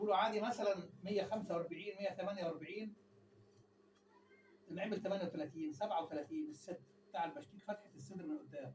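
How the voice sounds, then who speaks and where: A man speaks quietly and very fast, at a high pitch with lively intonation. There is noticeable background noise. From Egypt. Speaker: tailor. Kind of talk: tutorial. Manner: quiet voice, viewers ask him to speak louder.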